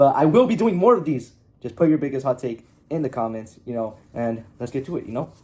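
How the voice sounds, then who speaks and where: Speaking at a fairly quick pace, a man with a fairly high pitch and a dark, mellow tone uses lively intonation. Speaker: soccer reaction content creator. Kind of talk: casual reaction commentary. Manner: animated; halting, self-correcting.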